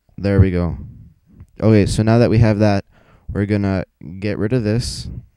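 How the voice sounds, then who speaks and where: A man talks with a fairly low pitch and ordinary pitch variation. His tone is dark and mellow. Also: long, frequent pauses. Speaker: gaming video tutorial maker. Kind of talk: tutorial. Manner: fast; casual, with fillers.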